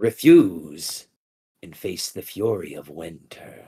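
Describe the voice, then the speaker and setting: Very deep, low pitch in a man's put-on character voice, delivered fairly slowly. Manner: voice trailing off, ominous.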